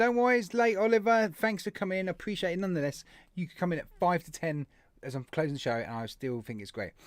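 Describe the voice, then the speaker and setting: A man with an English accent talks at a fairly quick pace in a high pitch, his voice swinging very widely up and down over a very clean recording with a silent background. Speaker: vape channel live stream host. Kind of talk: live stream chat reading viewer comments. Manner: fast.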